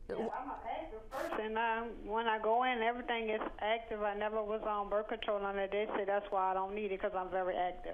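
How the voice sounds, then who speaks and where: A woman with a plain, everyday voice and a fairly high pitch talks at a fairly quick pace. Her intonation stays fairly even. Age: 40s. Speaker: caller. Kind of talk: call-in question.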